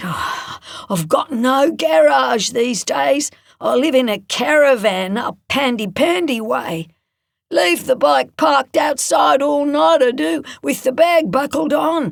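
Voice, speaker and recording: A man's put-on character voice, raspy and extremely high, fairly slow with very wide pitch swings. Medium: read story. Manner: gruff, laconic.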